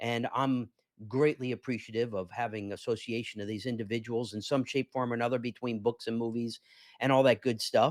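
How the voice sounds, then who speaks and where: A man speaks fairly quickly at a medium pitch. The sound is dry and close with no echo, on a very clean recording with a silent background. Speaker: business podcast host and payment consultant. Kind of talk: live business show monologue. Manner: animated.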